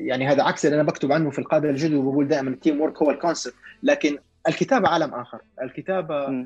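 Spoken at a very fast pace, this voice keeps a fairly even intonation. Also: man, fairly high pitch for a man. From Saudi Arabia, Jeddah. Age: 40s. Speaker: author and business executive. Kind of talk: casual interview.

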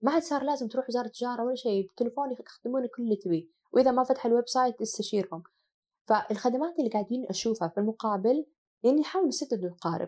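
At a very fast pace, a woman speaks at a high pitch with a dark, mellow tone and lively intonation. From Saudi Arabia, Asir roots. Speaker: hotel company CEO. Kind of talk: interview conversation.

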